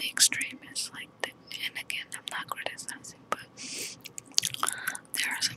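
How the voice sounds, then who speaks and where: A soft-spoken woman whispers, and the sound is dry with no echo. Loud noise fills the background. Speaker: makeup vlogger. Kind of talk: casual vlog chat. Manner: soft whisper while chewing gum. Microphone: phone near.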